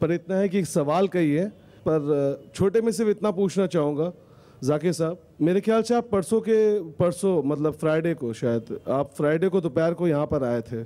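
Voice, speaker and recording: At a fairly slow pace, a man speaks in a high voice with a dark, mellow tone and lively intonation. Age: 40s. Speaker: audience member asking a question; audience member. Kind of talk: audience question. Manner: halting. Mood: agitated, challenging. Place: stadium. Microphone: handheld.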